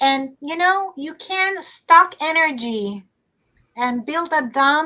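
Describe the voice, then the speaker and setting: A woman with a high pitch projects a raised voice in a bright, sharp tone. She speaks at a very slow pace with lively intonation. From Puerto Rico. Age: 60s. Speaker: artist. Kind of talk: online talk show interview. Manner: halting.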